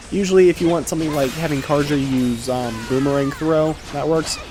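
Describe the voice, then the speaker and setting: There is music in the background as the speaker talks at a moderate pace. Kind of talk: game guide narration. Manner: casual.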